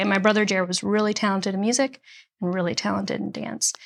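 At a very fast pace and with fairly even intonation, the speaker talks in an American accent on a very clean recording with a silent background. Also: woman. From Nashville area, Tennessee (born Chicago). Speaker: singer-songwriter and author. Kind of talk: interview conversation.

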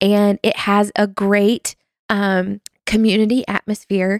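In a Southern US accent, a woman speaks at medium pitch with monotone, flat intonation, the sound dry and close with no echo. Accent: Southern US, noticeable. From US South, North Carolina. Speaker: small groups associate director, church staff. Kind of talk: casual interview chat.

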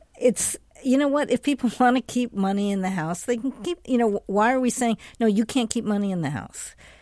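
Using an ordinary speaking voice, a woman talks at a fairly quick pace with lively intonation. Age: 60s. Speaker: health journalist. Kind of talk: news panel discussion.

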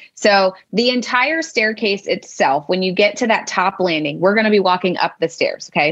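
At a moderate pace, a woman with an American accent uses a plain, everyday voice with ordinary pitch variation. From US, Pennsylvania. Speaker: special education teacher and IEP coach. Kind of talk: educational interview.

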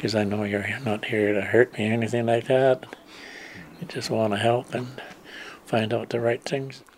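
A man at medium pitch, fairly quick and monotone, with flat intonation and noticeable background noise. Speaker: residential school survivor. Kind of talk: testimony. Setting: in a home.

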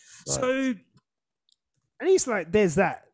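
In a very clean recording with a silent background, a man speaks with a southern English accent. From southern England. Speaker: podcast host. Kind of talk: casual chat. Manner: sounds sarcastic.

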